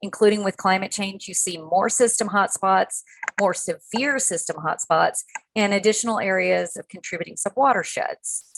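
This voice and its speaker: With a dry, close sound and no echo, a woman in an ordinary speaking voice talks at a moderate pace with ordinary pitch variation. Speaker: conservation panelist. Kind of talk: webinar presentation.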